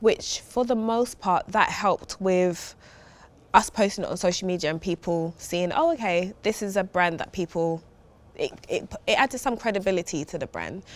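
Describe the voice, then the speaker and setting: A woman with a strong East London accent, medium pitch, ordinary pitch variation, and a moderate pace. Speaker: food brand founder. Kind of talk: podcast interview.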